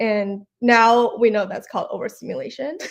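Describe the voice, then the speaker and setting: An unremarkable speaking voice at a fairly slow pace. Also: woman. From China (Shanghai), moved to Oregon at 16. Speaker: ex-tech finance worker, accountant and yoga instructor. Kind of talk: casual interview chat. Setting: live stream, in person.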